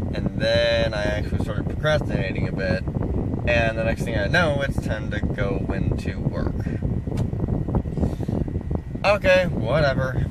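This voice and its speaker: A man's speech with long, frequent pauses, loud background noise, and a dry sound with no echo. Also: fairly slow pace. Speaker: vlogger. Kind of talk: casual vlog chat. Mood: relaxed, slightly self-critical. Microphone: phone near.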